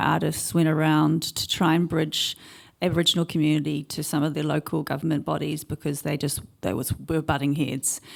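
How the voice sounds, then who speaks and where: A woman speaking at a fairly quick pace, captured in a very clean recording with a silent background. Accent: New Zealand. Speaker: artist. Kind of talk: conference panel discussion.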